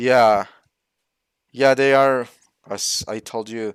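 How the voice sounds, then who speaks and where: A man talks with a Spanish accent at a fairly slow pace and fairly even intonation. The sound is dry and close, with no echo. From Mexico. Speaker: channel host. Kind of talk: casual online discussion. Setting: live online stream. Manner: halting, searching for words.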